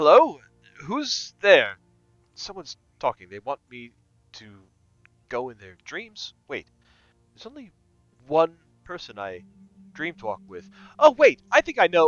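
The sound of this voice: A man's gruff, put-on character voice, high in pitch, at a moderate pace with long, frequent pauses and music in the background.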